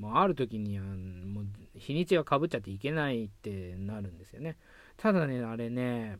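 Lively in intonation, a man speaks at a medium pitch and a moderate pace, his loudness swinging widely. The recording is very clean, with a silent background. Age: 30s. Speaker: film critic and writer. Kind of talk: casual monologue. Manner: hesitant, many fillers.

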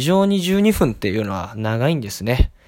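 With very wide pitch swings, a man speaks at a fairly quick pace. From Tokyo. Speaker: podcast host. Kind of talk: solo monologue. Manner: many fillers, hesitant.

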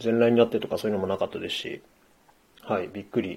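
A man talking at a fairly quick pace. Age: 40s. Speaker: podcaster. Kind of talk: solo monologue. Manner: halting.

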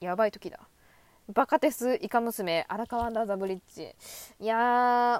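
The speaker has an animated tone and a fairly slow pace with long, frequent pauses, big swings in loudness and ordinary pitch variation, captured dry and close with no echo on a very clean recording with a silent background. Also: woman, fairly high pitch for a woman. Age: 20s. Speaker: solo podcaster, anime fan. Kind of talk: casual monologue.

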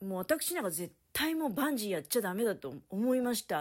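Fairly quick, fairly high female speech with very wide pitch swings. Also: very clean recording, silent background. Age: 50s. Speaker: solo podcaster. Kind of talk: casual solo monologue.

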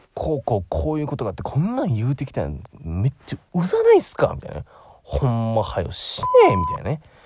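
A man talking at a very fast pace through noticeable background noise. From Osaka, Japan. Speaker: aspiring narrator, podcast host. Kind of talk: solo casual monologue. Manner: chatty, filler-heavy.

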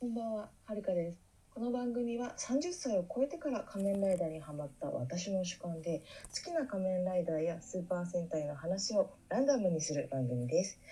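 A woman's medium-pitched voice at a moderate pace, full of very wide pitch swings. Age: 30s. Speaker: podcaster, tokusatsu fan. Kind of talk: casual solo talk. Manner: halting, many fillers.

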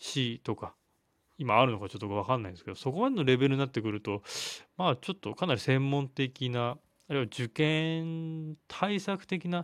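This man's voice sits fairly high and moves at a moderate speed. The audio is very clean, and nothing can be heard behind him. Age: 30s. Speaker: physical therapist, solo podcaster. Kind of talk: solo monologue. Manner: hesitant, many fillers.

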